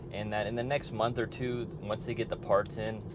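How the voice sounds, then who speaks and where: Music plays behind a man talking at a fairly quick pace, with a dry sound and no echo. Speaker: car owner vlogger. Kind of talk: casual vlog chat. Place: car.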